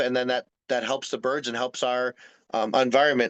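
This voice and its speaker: Against a quiet background, a man with an unremarkable speaking voice and an American accent talks at a fairly quick pace and medium pitch, the sound dry and close with no echo. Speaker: wildlife rehabilitation specialist. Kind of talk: presentation to a community group. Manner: filler-heavy, repeating words.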